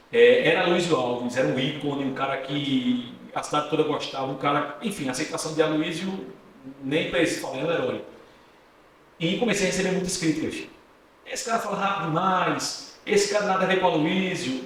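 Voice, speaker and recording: A man's fairly high voice at a fairly quick pace, with ordinary pitch variation, audible room echo and noticeable background noise. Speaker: journalist and radio presenter. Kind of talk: podcast interview. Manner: fast.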